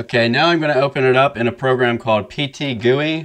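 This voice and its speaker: Against a quiet background, a man is speaking. His intonation is fairly even. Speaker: photographer tutorial host. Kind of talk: tutorial. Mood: relaxed, friendly. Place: studio. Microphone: studio mic.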